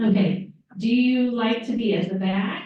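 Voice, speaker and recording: A woman with a Southern US accent speaks at a fairly slow pace with fairly even intonation and audible room echo. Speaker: trip organizer leading a group meeting. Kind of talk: group meeting, casual icebreakers.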